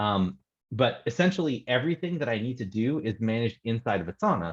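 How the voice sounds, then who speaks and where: A man's medium-pitched voice, fairly quick and lively in intonation, against a quiet background. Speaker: real estate investor guest. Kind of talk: screen-share tutorial. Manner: fast.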